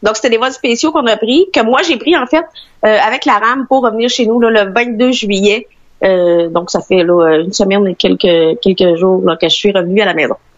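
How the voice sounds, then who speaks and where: Speaking at a moderate pace, a woman uses a normal speaking voice with fairly high pitch and lively intonation. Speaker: traveller stranded abroad. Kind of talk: interview.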